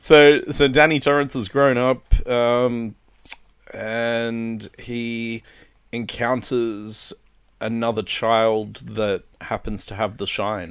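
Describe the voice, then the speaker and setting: In a very clean recording with a silent background, a man with an Australian accent speaks very slowly at a medium pitch, with fairly even intonation and big swings in loudness. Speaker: co-host. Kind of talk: casual chat.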